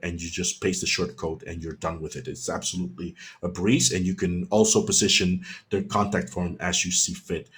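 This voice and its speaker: A man is talking. There is ordinary variation in his pitch. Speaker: web developer presenting a tutorial webinar. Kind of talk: webinar Q&A. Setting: online webinar. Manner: fast; animated.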